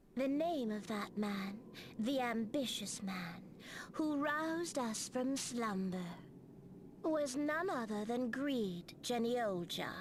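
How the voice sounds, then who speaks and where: In a put-on character voice pitched high, a female-sounding voice talks at a fairly slow pace over clear background noise. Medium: video game. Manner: measured, portentous, cryptic.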